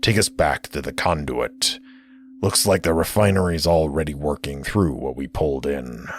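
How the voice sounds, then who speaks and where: Using a put-on character voice, a man sounds raspy and very deep, low in pitch while keeping a moderate pace. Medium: read story. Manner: gruff.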